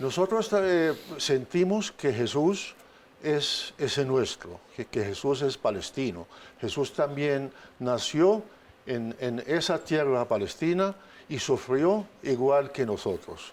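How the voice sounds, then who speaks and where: Though his pace is very slow, a man with a fairly high pitch speaks with lively intonation. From Palestine, Bethlehem. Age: 60s. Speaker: diplomat. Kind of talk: interview. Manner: halting, many fillers.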